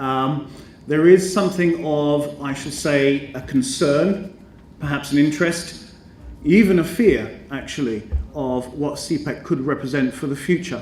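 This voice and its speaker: In a British accent, the speaker talks at a fairly slow pace with ordinary pitch variation and big swings in loudness, and audible room echo surrounds the voice. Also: man, fairly high pitch for a man. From Britain. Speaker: educator and business school representative. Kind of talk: conference speech. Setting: conference stage with audience. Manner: formal, hesitant with many ums.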